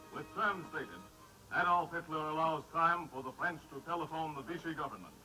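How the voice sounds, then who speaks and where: Over background music, a man with a fairly high pitch talks fairly quickly and keeps his intonation fairly even. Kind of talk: vintage newsreel narration. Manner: dramatic, solemn.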